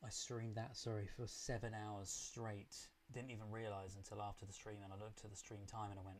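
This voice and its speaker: Amid audible room echo, a man with a British accent speaks at a fairly quick pace in a fairly low, somewhat breathy voice with monotone, flat intonation. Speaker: film reaction youtuber. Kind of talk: live stream chat.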